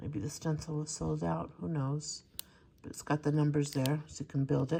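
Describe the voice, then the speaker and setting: This woman has a very deep, low pitch and a dark, mellow tone. Her voice is somewhat breathy. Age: 60s. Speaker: crafting YouTuber. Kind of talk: casual haul video. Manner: casual, chatty with fillers.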